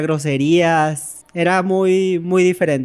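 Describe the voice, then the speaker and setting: A man's high, monotone voice stays flat in intonation while noticeable noise sounds in the background. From Mexico, Tenosique, Tabasco. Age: 20s. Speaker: storyteller. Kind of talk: personal testimony.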